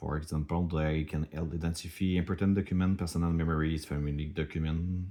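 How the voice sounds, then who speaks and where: With a French accent, a man races along very fast with hardly any pauses, his very deep, low voice monotone and flat. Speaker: startup founder. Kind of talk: product demo. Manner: halting.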